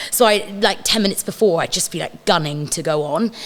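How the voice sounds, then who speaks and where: Fairly quick speech from a woman, with background noise clearly heard. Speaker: stage and screen actress. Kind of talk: casual chat.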